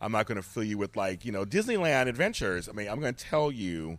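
A man with a fairly low pitch speaks in a plain, everyday voice. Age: 50s. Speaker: podcaster and life coach. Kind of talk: casual chat. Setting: in person.

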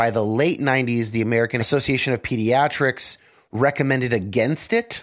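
A man's unremarkable speaking voice at a medium pitch and moderate pace, in a very clean recording with a silent background. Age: 30s. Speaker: podcast host. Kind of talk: casual chat.

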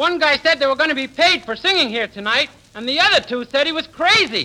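Putting on a character voice, a man talks at an extremely high pitch, with a bright, sharp tone, lively intonation and a fairly quick pace.

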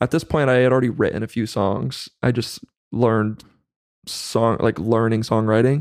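An unremarkable speaking voice of a man with an American accent, medium pitch, fairly even intonation, very even loudness and moderate pace, in a very clean recording with a silent background. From US West Coast, Central Valley of California. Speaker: musician and songwriter. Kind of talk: casual chat.

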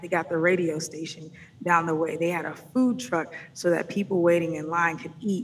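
With an American accent and a plain, everyday voice, a woman with a fairly low pitch talks at a moderate pace and with fairly even intonation. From Atlanta, US South. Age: 30s. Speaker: music business consultant. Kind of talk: interview conversation.

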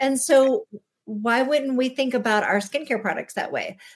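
In a normal speaking voice, a woman talks at a moderate speed, her pitch varying in an ordinary way. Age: 40s. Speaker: naturopathic doctor and skincare expert. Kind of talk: interview.

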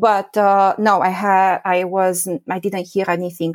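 A woman speaks with a Romanian accent. The recording is very clean with a silent background and a dry, close sound with no echo. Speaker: professor. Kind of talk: interview. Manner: halting, many fillers.

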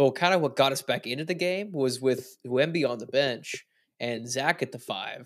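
A man's plain, everyday voice at a fairly high pitch, with ordinary pitch variation and a moderate pace. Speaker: sports podcast co-host. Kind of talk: casual sports recap discussion.

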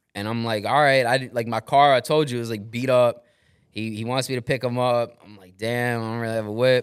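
A man with a New York accent talks at a fairly quick pace in a medium pitch. His intonation is monotone and flat, while his loudness swings a lot. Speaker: former radio host turned real estate investor. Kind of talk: casual chat.

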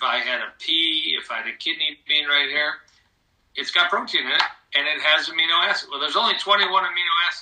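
A man speaks in a normal speaking voice with an American accent, his fairly high pitch showing ordinary pitch variation. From Michigan, US. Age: 60s. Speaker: cardiologist. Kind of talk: interview.

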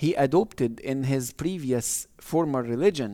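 In an Arabic accent, a man talks at a fairly slow pace in a dark, mellow tone. The recording is very clean, with a silent background. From Egypt. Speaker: professor of Islamic studies. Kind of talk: interview.

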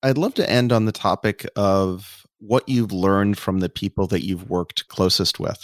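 A normal speaking voice at a moderate pace with hardly any pauses, dry, close sound with no echo, very clean recording and silent background. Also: man. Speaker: podcast host, venture capital partner. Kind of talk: interview.

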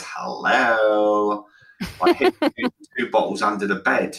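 A man puts on a raspy character voice at a fairly low pitch. He delivers it at a fairly slow pace. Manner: drunk, sinister.

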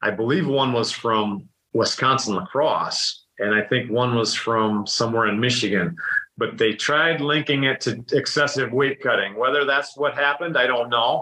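A man speaks in a plain, everyday voice with an American accent, at a medium pitch and a moderate pace. His loudness stays very even, and his pitch varies in an ordinary way. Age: 40s. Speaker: dairy farmer and former wrestler. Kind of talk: casual interview chat.

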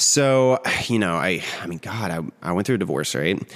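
A man with an American accent and vocal fry, at a fairly slow pace. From West Virginia, small Ohio River town. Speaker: retired drag queen, bank worker. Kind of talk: casual interview conversation. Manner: hesitant, many fillers.

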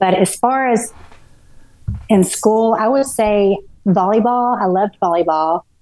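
A woman with a Texan accent speaks at a fairly slow pace and a fairly high pitch, leaving long, frequent pauses. Her loudness stays very even, with ordinary pitch variation. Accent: Texan American. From Texas, Garland near Dallas. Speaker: ultrarunner, recovered addict. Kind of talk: interview, personal life story. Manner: halting, many fillers and restarts.

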